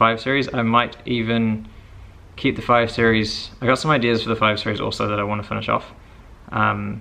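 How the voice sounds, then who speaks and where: A man with a New Zealand accent at a fairly quick pace. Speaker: car vlogger. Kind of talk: casual vlog.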